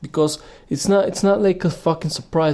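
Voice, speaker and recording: A man with a non-native accent speaks in a dark, mellow tone with fairly even intonation. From Bulgaria. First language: Bulgarian. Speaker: podcaster. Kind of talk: rant. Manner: halting.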